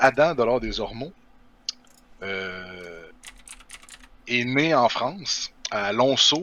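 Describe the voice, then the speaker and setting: A man speaks in a Quebec accent at a medium pitch with lively intonation. Noticeable background noise runs behind him. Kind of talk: casual conversational.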